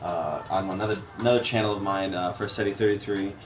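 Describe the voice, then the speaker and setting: Music plays in the background as a man speaks at a fairly quick pace. His fairly low voice keeps fairly even intonation. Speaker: gaming channel co-host. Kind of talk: casual gameplay chat. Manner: loud; halting, many fillers and repeats.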